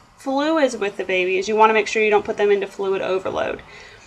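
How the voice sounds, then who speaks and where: A woman's voice at a fairly quick pace over noticeable background noise. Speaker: nursing student. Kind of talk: recorded class presentation.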